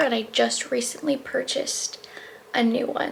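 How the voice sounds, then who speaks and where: High-pitched female speech under noticeable background noise. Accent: American. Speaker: lifestyle vlogger. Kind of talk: casual vlog talk to camera. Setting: at home. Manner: soft-spoken.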